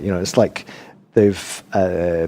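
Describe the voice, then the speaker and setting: A man speaks over noticeable background noise. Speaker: Buddhist meditation teacher. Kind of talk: podcast interview answer.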